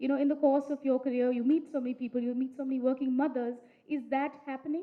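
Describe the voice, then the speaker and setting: Very fast and high-pitched, a woman rattles through her words. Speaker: panel moderator. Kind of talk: moderated panel discussion.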